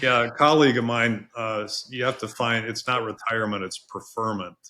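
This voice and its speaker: With an ordinary speaking voice at medium pitch, a man talks at a fairly quick pace and keeps his intonation fairly even. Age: 60s. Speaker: veterinarian and veterinary college dean. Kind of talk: podcast interview. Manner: many fillers and repeated words.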